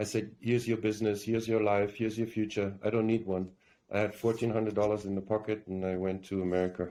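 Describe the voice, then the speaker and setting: In a strong German accent, the voice has a dark, mellow tone and monotone, flat intonation. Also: man. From Germany. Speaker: actor. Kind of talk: interview.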